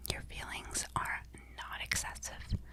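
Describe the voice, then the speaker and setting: A woman whispers in a soothing tone at a very slow pace. Noticeable background noise sits behind her. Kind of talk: ASMR sleep talk. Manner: whispered, soft, slow, soothing.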